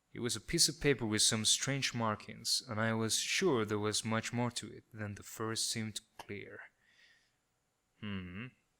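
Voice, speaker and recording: A man with a non-native accent speaks fairly slowly at a fairly low pitch, with a bright, sharp tone and ordinary pitch variation. The recording is very clean with a silent background. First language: not English. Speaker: gamer, let's player. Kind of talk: let's play commentary. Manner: joking, sarcastic.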